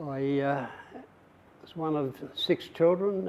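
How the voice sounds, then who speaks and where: Speaking in an Australian accent, a man uses ordinary pitch variation. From Australia, rural western Victoria. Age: 70s. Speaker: veteran, former footballer and police officer. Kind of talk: oral history interview. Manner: halting, many fillers.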